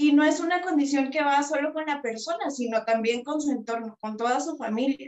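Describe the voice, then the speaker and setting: Speaking quickly with hardly any pauses, a woman with a Guatemalan accent uses a high pitch and ordinary pitch variation, with audible room echo against a quiet background. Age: 20s. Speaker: psychologist and author; interviewee. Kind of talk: interview. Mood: reflective, heartfelt. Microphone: video call.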